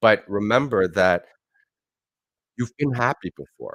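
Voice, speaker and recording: Speaking with a Canadian accent, a man with a fairly low voice uses lively intonation in a dry, close recording with no echo. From Canada, Montreal then Toronto. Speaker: motivational speaker. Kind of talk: motivational talk; livestream talk. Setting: livestream with guests. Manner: halting. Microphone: echo from speakers.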